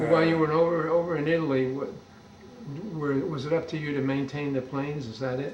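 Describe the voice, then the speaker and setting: A man speaks very fast in a fairly high voice with fairly even intonation. Audible room echo and noticeable background noise come through. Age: 80s+. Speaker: oral history interviewer. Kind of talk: oral history interview. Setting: interviewee's home.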